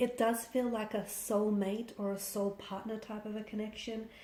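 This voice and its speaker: At a moderate pace, a woman talks in a fairly high pitch with fairly even intonation, amid noticeable background noise. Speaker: tarot reader. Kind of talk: tarot reading.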